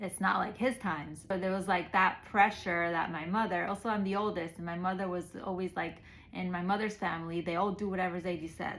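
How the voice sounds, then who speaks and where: With a Spanish accent, a woman of medium pitch talks fairly fast with fairly even intonation and hardly any pauses. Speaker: storyteller recounting her childhood. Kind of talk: personal storytelling monologue. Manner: casual, conversational with many fillers.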